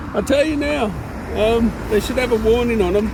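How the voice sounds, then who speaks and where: A man talks at a moderate speed. Background noise is noticeable, and the room echoes audibly. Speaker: tech reviewer. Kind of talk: product review vlog. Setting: outdoors on a walk by traffic. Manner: loud, yelling over noise; casual, chatty.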